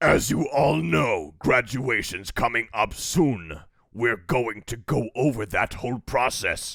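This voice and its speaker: Using a put-on character voice, a man talks at a fairly slow pace in a medium pitch. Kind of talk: imitation of a gruff video game military voice. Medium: game stream. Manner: shouting.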